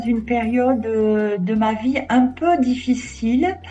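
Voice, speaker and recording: A high-pitched woman's voice with fairly even intonation, music playing in the background. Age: 60s. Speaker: crochet hobbyist interviewee. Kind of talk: interview. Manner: hesitant, many fillers.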